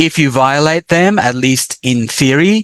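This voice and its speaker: Against a quiet background, a man with an Australian accent speaks at a moderate pace with lively intonation, in a dry, close sound with no echo. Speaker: professor. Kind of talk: lecture.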